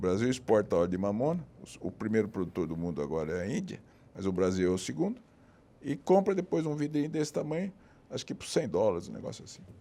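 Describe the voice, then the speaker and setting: A man with a fairly low pitch and a dark, mellow tone, very fast pace, very wide pitch swings and big swings in loudness. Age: 70s. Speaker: cardiac surgeon and professor. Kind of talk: casual interview conversation. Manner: hesitant, many restarts.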